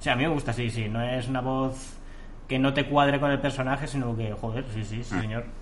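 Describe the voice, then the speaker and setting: Medium-pitched male speech at a fairly quick pace, with fairly even intonation and audible room echo. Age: 30s. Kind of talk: casual chat.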